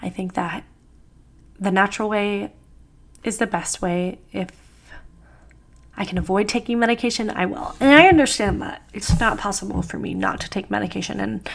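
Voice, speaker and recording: A woman speaks at a medium pitch with vocal fry. Her pace is moderate and her pitch variation ordinary. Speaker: lifestyle vlogger. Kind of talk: casual vlog monologue. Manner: chatty.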